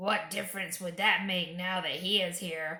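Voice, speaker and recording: A raspy, put-on character voice speaks at a moderate pace. The intonation stays flat and monotone throughout. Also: woman, medium pitch for a woman. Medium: read story. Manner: grim, low.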